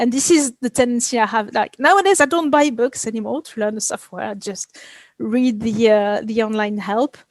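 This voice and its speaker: With ordinary pitch variation and a fairly high pitch, a woman talks at a moderate pace in a dry, close sound with no echo. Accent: French. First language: French. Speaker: video game effects artist. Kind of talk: interview. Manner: halting.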